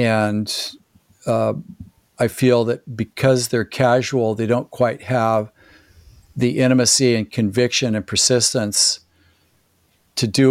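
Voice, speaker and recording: On a very clean recording with a silent background and a dry, close sound with no echo, a man speaks at medium pitch and a moderate pace in a monotone, flat intonation. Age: 60s. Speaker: performance coach and former chiropractor. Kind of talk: casual interview conversation.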